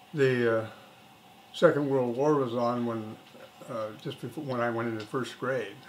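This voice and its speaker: In an American accent, a man with a medium pitch speaks at a fairly slow pace in a monotone, flat delivery, with audible room echo and noticeable background noise. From Oregon, US Pacific Northwest. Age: 70s. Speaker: grandfather interviewed for school project. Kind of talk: casual interview. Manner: halting, frequent fillers.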